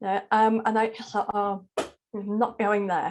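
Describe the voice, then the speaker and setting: A woman speaks with a Yorkshire accent. She keeps a moderate pace. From South Yorkshire, northern England. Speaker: charity chief executive and spiritual teacher. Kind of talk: interview conversation.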